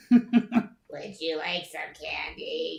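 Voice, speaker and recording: A raspy, put-on character voice, female-sounding and fairly high in pitch. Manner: creepily sweet.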